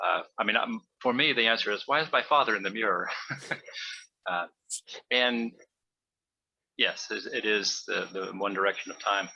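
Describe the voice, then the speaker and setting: A man leaves long, frequent pauses while talking at a moderate pace. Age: 60s. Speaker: dharma practice group member. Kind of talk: group sharing discussion. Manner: halting, many fillers and restarts.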